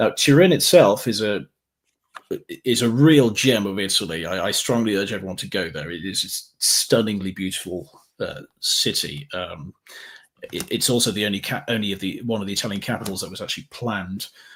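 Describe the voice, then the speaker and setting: A man with an East Midlands accent talks at a fairly quick pace with ordinary pitch variation. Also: fairly low pitch for a man. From England, Derby (East Midlands). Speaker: travel content creator. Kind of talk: interview. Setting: live stream.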